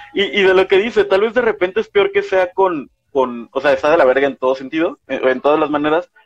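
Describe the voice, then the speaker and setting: Here a man talks fairly briskly. His sound is close and dry, without any echo. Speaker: podcast co-host. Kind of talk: casual chat. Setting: livestream. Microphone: poor audio quality.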